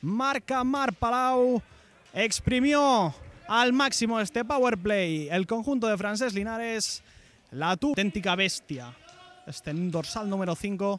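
A high-pitched man's voice at a very slow pace. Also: lively intonation. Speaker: sports commentator. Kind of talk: live roller hockey commentary, highlights. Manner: drawn-out repeated shouts of goal.

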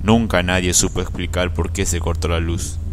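Noticeable background noise behind a man talking at a moderate speed. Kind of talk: first-person ghost story telling, recounted as a personal experience.

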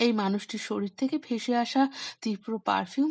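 The pitch variation stays ordinary. What you hear is plain reading aloud.

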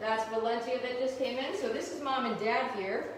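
A woman with a high voice talks at a moderate pace with ordinary pitch variation, over light background noise and with audible room echo. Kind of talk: informal educational commentary. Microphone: phone near.

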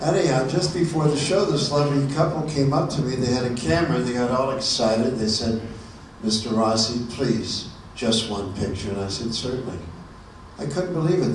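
Amid noticeable background noise and audible room echo, a man speaks at a fairly quick pace with a medium pitch and lively intonation. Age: 70s. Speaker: comedian. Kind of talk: stand-up. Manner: animated. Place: stage.

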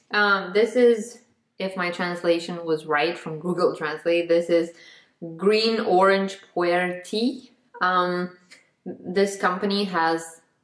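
A woman speaks at a very slow pace with fairly even intonation. The background is quiet, though room echo is audible. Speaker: vlogger. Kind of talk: casual vlog chat, snack taste test. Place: kitchen. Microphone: phone near.

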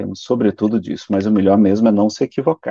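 A man's fairly low, dark, mellow voice, dry with no echo, against a quiet background. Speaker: spiritist lecturer. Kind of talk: lecture. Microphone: video call.

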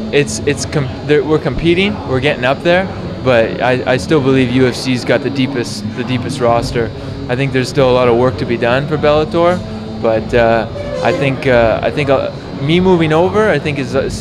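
Clear music plays behind a man who speaks at a moderate pace with ordinary pitch variation. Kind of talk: interview answer. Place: hall.

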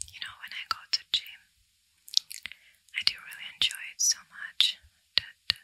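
A woman whispers at a moderate pace, her loudness swinging widely. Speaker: ASMR creator. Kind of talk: soft-spoken ASMR talk. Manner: soft intimate ASMR talk. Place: home room. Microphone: studio mic.

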